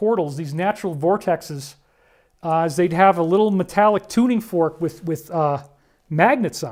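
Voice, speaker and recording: High-pitched male voice with ordinary pitch variation. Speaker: alternative-science lecturer. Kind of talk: lecture. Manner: fast.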